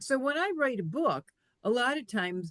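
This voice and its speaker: A woman talks at a moderate pace with very wide pitch swings, her sound dry and close with no echo. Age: 60s. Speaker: author. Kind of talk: interview. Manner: casual, hesitant with many fillers.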